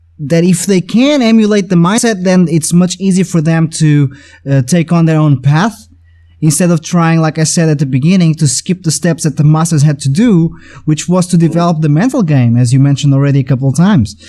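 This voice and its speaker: A dark, mellow tone in a Portuguese accent, with very even loudness. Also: man, fairly high pitch for a man, ordinary pitch variation, fairly quick pace. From Portugal. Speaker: podcast host, drummer and music educator. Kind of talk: casual interview conversation. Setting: video call. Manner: halting, many repetitions.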